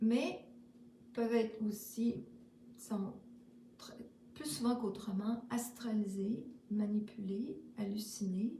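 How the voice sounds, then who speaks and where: At a very slow pace, a woman with a fairly high pitch and fairly even intonation talks with long, frequent pauses and big swings in loudness. Noticeable background noise and audible room echo are present. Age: 60s. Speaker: spiritual vlogger. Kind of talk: casual spiritual monologue. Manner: halting, many fillers.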